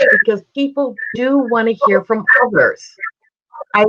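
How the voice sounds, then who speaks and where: A woman with an American accent at a fairly slow pace, with ordinary pitch variation. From United States. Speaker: speaking coach and trainer. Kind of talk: interview.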